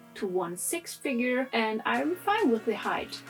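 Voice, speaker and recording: With music in the background, a woman with a German accent speaks at a moderate pace in a fairly high pitch. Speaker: anime figure reviewer. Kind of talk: casual talk to camera.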